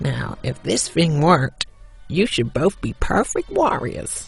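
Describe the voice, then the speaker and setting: The speaker performs a put-on character voice. The delivery moves at a fairly slow pace. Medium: audio drama.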